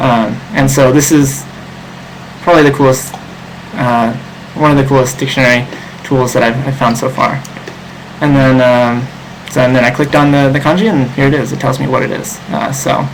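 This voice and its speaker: Background noise is noticeable, along with audible room echo. The speech has long, frequent pauses. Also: man, medium pitch for a man. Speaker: online Japanese tutor. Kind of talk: live online seminar. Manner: fast; hesitant, many fillers.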